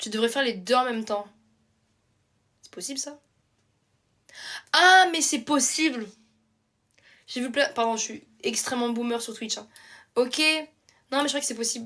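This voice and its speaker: A woman's high-pitched voice, bright and sharp in tone, with lively intonation at a fairly slow pace. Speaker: live streamer. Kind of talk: casual chat. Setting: live stream. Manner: casual, hesitant.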